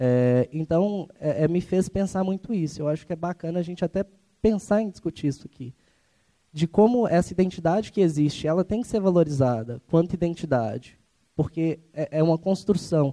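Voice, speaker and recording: Recorded dry and close with no echo, a man speaks at a moderate pace in a high-pitched voice with a dark, mellow tone. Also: ordinary pitch variation. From Ribeirão das Neves, Minas Gerais, Brazil. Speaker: audience member. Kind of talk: audience comment. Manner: halting.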